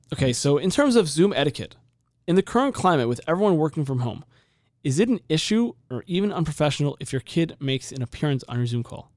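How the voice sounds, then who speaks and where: A man with an American accent and fairly high pitch talks at a very fast pace. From San Diego, California. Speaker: podcast host. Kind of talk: casual podcast chat. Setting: studio. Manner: talks fast.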